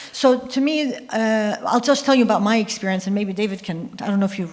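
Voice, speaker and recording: A woman with an Arabic accent speaks at medium pitch with ordinary pitch variation. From Jordan, Palestinian-Syrian family. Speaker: scientist and author, panelist. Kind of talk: panel discussion. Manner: halting, with false starts.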